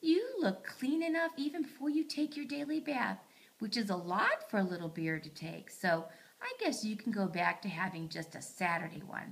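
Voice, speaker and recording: A woman's put-on character voice, gentle in tone, medium in pitch, at a moderate pace. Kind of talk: bedtime story. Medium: read story. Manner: gentle, motherly.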